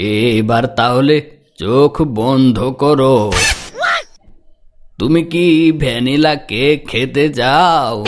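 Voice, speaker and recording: A man puts on a cartoonish character voice at a medium pitch. He goes at a very slow pace, with very even loudness. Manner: formal, old-fashioned phrasing.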